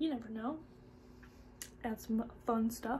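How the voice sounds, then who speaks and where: A woman talks at a fairly slow pace with a fairly high pitch. Her voice is somewhat breathy, with a dark, mellow tone. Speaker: beauty youtuber. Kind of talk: makeup tutorial. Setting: home filming room, bright sunny day. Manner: casual, chatty.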